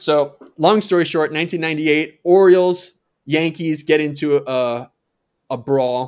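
A man with an American accent and a fairly high pitch uses a normal speaking voice at a moderate pace with ordinary pitch variation. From Minnesota. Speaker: podcast co-host, former baseball player and comedy writer. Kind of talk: casual chat.

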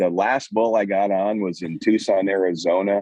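In a Montana accent, a man speaks at a fairly slow pace with a dark, mellow tone, the sound dry and close with no echo. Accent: Montana, western US. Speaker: Western store owner and saddle maker. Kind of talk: casual interview.

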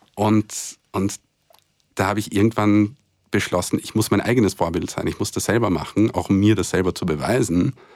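This man talks at a moderate pace with a fairly low pitch and fairly even intonation. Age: 30s. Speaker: co-host, author and HIV activist. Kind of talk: personal testimony in interview. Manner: halting, many fillers and repetitions.

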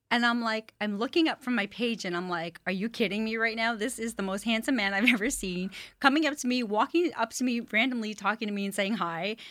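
An animated woman speaks at a fairly quick pace with hardly any pauses, a bright, sharp tone and a fairly high pitch with ordinary pitch variation. The recording is very clean with a silent background. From Montreal, Canada. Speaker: singer-songwriter. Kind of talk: casual interview. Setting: studio.

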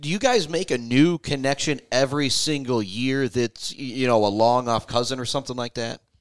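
A man with an American accent and an unremarkable speaking voice talks at a medium pitch and a fairly quick pace, with ordinary pitch variation and hardly any pauses. The recording is very clean with a silent background and a dry, close sound with no echo. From Michigan. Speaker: radio host. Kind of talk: casual interview.

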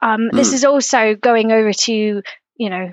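Pitched fairly high, a woman uses a normal speaking voice at a moderate pace. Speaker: guest. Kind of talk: casual chat.

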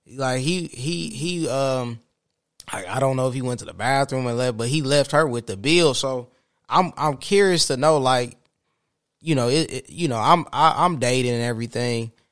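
In a very clean recording with a silent background, a man with a plain, everyday voice speaks at a moderate pace and medium pitch, with ordinary pitch variation. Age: 30s. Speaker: podcast host. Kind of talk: casual interview chat.

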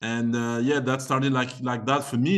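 A man's ordinary speaking voice at medium pitch and a moderate pace. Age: 20s. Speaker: tennis agent and former tennis player. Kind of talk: casual interview.

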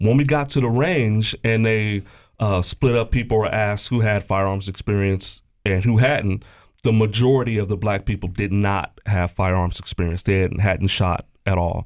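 A man with an unremarkable speaking voice and an American accent talks at a moderate pace and fairly low pitch, his loudness very even, in a very clean recording with a silent background. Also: ordinary pitch variation. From Columbus, Ohio (East Side). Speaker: Marine Corps veteran, state employee. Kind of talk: casual panel interview.

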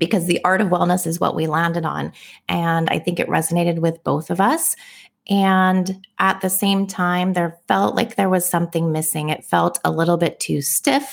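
In a very clean recording with a silent background, a woman with an American accent talks at a moderate pace, her fairly low pitch showing ordinary variation. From US West Coast (San Francisco Bay Area). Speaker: wellness coach and podcast co-host. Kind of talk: casual chat.

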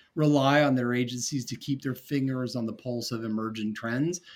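With an American accent, a man speaks in a plain, everyday voice at medium pitch, his pitch varying an ordinary amount. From North Carolina. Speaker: marketing entrepreneur. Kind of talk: interview.

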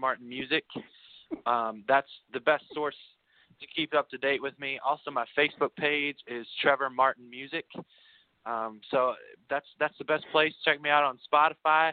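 A man talks at a moderate pace in an ordinary speaking voice. His pitch is fairly high and his intonation fairly even. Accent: American. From Kentucky, US. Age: 20s. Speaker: singer-songwriter. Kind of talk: casual interview chat. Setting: video call.

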